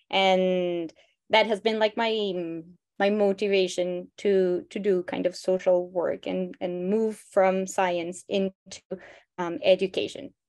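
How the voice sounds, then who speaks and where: A woman with a Spanish accent talks at a very slow pace with fairly even intonation. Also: medium pitch for a woman. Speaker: biologist, nonprofit co-founder. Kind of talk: interview.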